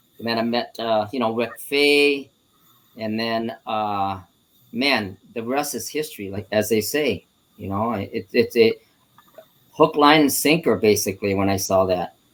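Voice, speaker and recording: Speaking at a fairly slow pace, a man uses a medium-pitched voice with ordinary pitch variation. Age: 60s. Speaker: martial arts instructor. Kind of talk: casual interview. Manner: halting with many fillers.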